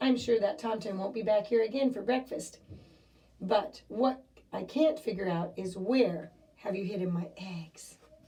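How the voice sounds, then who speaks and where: In a put-on character voice, a woman talks at a moderate pace with a raspy sound and a medium pitch. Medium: read story.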